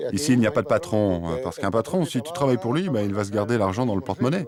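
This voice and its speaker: Over noticeable background noise, a man talks at a very fast pace with lively intonation. His pitch is fairly low. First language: Spanish (speaking French). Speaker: cooperative farm worker. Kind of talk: interview while working.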